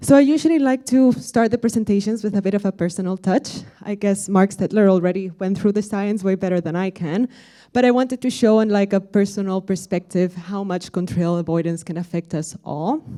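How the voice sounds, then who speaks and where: A woman's medium-pitched voice with a Spanish accent, dark and mellow in tone, at a fairly quick pace with hardly any pauses and ordinary pitch variation. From Spain, Madrid. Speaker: conference speaker, aviation software sustainability lead. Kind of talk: conference presentation.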